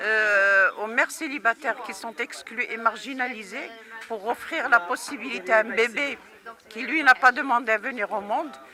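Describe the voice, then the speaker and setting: Over noticeable background noise, a woman speaks at a moderate pace in a fairly high voice with ordinary pitch variation. Her loudness swings widely. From Morocco. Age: 70s. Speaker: activist. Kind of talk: interview. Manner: hesitant, many filler sounds.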